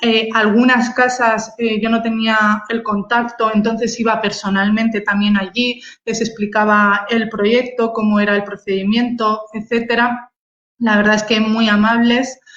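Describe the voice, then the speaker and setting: A woman with a Spanish accent speaks at a fairly slow pace, fairly high in pitch, her intonation flat and monotone. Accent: Peninsular Spanish. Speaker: photographer. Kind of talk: online talk presenting her photography. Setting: video call livestream. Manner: halting, many fillers and repetitions.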